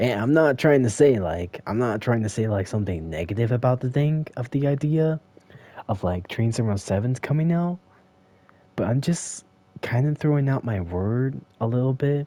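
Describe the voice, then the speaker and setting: A man at a medium pitch talks at a moderate pace with lively intonation and a dark, mellow tone. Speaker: gaming streamer. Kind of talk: casual monologue. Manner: halting.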